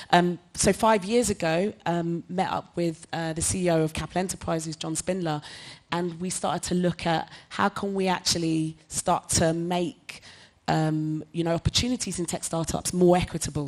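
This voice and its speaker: A woman with a London accent speaks at a moderate pace, her fairly low pitch carried on fairly even intonation. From London, Hackney. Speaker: tech nonprofit director, former founder. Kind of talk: panel discussion.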